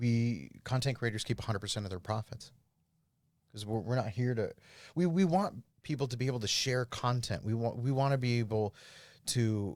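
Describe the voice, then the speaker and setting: A man at a medium pitch and fairly quick pace, with ordinary pitch variation and long, frequent pauses, on a very clean recording with a silent background. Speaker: cryptocurrency startup founder. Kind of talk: podcast interview, pitching a product. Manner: fast.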